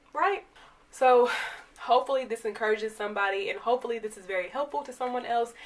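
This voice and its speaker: The speech races at a very fast pace with an animated tone and ordinary pitch variation. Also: woman, high pitch for a woman. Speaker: YouTuber giving motivational talks. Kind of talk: motivational talk to camera.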